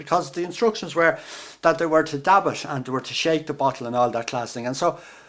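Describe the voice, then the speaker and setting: The man's pitch is fairly high, with ordinary variation. His loudness swings widely against noticeable background noise. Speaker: storyteller. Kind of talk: folk tale storytelling.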